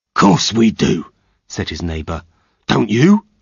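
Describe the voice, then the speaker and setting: A growling, put-on character voice from a man, fairly low in pitch, at a fairly slow pace. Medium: read story.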